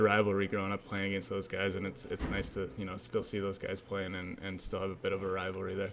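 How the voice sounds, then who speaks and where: In a Canadian accent, a man talks at a fairly quick pace with a fairly low pitch and monotone, flat intonation. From Abbotsford, British Columbia, Canada. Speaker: professional hockey player. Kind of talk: interview.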